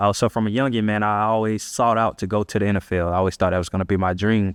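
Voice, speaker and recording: At a very fast pace, a man with an American accent speaks at a fairly low pitch with fairly even intonation, in a dry, close sound with no echo against a quiet background. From Central Florida (Ocala), US South. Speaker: leader and community organizer, former football player. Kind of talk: podcast interview, personal storytelling. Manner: casual, many fillers and repetitions.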